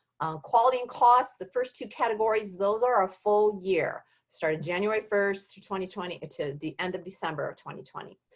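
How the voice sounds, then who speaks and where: A woman with an ordinary speaking voice and an American accent speaks with hardly any pauses, ordinary pitch variation, and big swings in loudness. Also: medium pitch for a woman, fairly quick pace. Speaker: healthcare quality advisor. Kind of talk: webinar presentation. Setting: online webinar.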